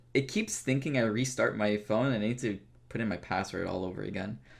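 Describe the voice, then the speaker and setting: The voice has an American accent. Noticeable background noise is present. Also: man. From Florida, US. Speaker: podcast host, gamer YouTuber. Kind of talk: casual chat.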